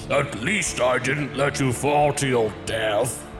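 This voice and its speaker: A man's put-on character voice at medium pitch and a fairly slow pace, over loud music in the background. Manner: bored, languid.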